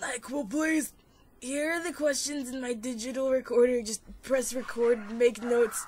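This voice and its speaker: A woman uses a put-on character voice, high and raspy, with fairly even intonation. She keeps a moderate pace while her loudness swings widely. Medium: read story.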